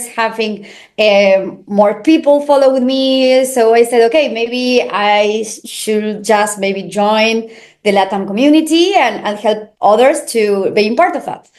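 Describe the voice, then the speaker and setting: A woman with a Spanish accent at a fairly high pitch, fairly slow pace and ordinary pitch variation. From Argentina. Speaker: crypto marketing manager. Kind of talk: interview. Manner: halting, many fillers.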